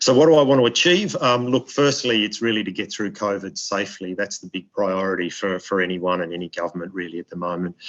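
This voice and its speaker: A man with an Australian accent talks at a very fast pace with hardly any pauses. His fairly low voice shows ordinary pitch variation and big swings in loudness. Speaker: diplomat. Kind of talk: webinar speech. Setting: video webinar. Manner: halting, many repetitions.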